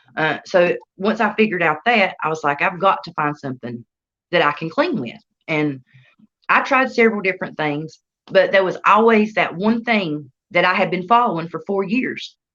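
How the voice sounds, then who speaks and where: In a Southern US accent, a woman of medium pitch speaks at a moderate pace with lively intonation and a bright, sharp tone. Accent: Southern US country. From North Carolina. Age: 30s. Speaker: entrepreneur. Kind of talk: interview. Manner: casual, colloquial.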